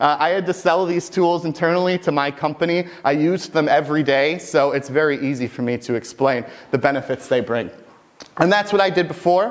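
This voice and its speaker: A man speaks at a fairly quick pace with ordinary pitch variation amid noticeable background noise. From US Midwest, Michigan. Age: 20s. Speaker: mainframe technical specialist, conference speaker. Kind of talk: conference talk. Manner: fast; animated.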